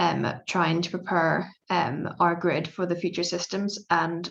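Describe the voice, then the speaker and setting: A woman with a Belfast accent, fairly low in pitch, monotone and flat in intonation, at a fairly slow pace. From Northern Ireland, Belfast. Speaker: PhD student in electrical engineering. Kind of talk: panel presentation. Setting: video call webinar. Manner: hesitant, many fillers.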